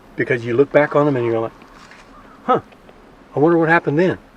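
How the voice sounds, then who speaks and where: A man talks with an American accent. The sound is dry and close with no echo, though noticeable background noise is present. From South Texas. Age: 60s. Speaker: farmer. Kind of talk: interview.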